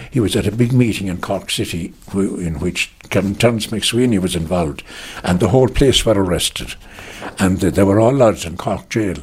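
Speaking at a moderate pace with a Munster accent, a man uses lively intonation in a somewhat breathy voice. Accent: Irish, Munster. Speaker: relative recalling family history. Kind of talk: oral history interview. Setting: interviewee's home.

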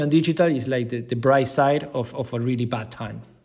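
Here a man speaks with a Spanish accent. His pace is fairly quick and his intonation fairly even. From Argentina, Buenos Aires. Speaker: digital content leader, former sports journalist. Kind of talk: interview.

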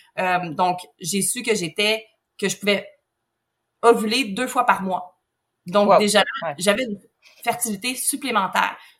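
At a fairly slow pace, a woman speaks in a somewhat breathy voice of medium pitch with ordinary pitch variation. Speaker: surrogate mother, egg donor. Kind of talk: interview conversation.

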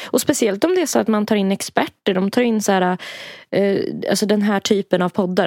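In a very clean recording with a silent background and a dry, close sound with no echo, a woman speaks at a fairly quick pace with ordinary pitch variation. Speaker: podcast co-host. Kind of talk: casual chat. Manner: giggly.

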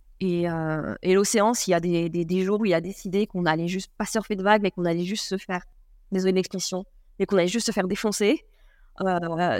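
At a fairly quick pace, a woman with an unremarkable speaking voice, a medium pitch and ordinary pitch variation is heard on a very clean recording with a silent background. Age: 20s. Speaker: surfer and traveller. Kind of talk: casual interview.

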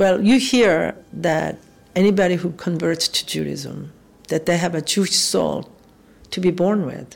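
A woman speaks with a Korean accent at a fairly slow pace. Her pitch is fairly low, with ordinary pitch variation. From South Korea. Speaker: restaurateur and kimchi maker. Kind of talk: personal interview, telling life story.

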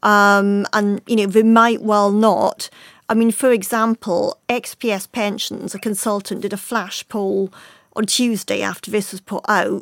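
A very clean recording with a silent background. The speaker's intonation stays monotone and flat. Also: woman, dry, close sound with no echo. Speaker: personal finance editor. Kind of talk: panel discussion.

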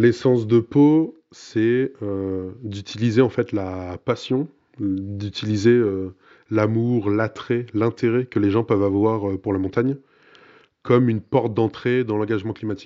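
A man talks at a medium pitch with fairly even intonation. His pace is fairly slow, with long, frequent pauses. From Burgundy, France. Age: 20s. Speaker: environmental NGO communications manager. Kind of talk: interview.

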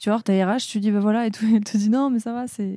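In a very clean recording with a silent background, a woman talks at a very fast pace in a dark, mellow voice of medium pitch. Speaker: podcast host. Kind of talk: casual chat.

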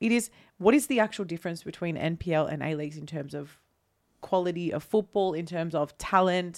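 The recording is very clean with a silent background, and a woman with a fairly low pitch talks at a fairly quick pace in a normal speaking voice. Her loudness swings a lot, while her pitch variation is ordinary. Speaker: podcast host. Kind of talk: casual chat.

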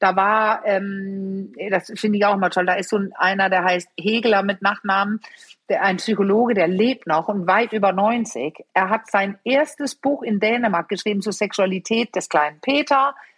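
A woman with an unremarkable speaking voice, medium pitch, moderate pace, ordinary pitch variation and very even loudness. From Denmark. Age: 50s. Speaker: sexologist and couples therapist. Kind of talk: interview.

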